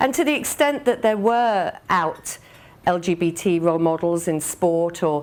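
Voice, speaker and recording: This woman has an English accent and a medium pitch. She talks at a fairly slow pace. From England. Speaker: business executive. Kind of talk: speech. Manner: hesitant with many fillers.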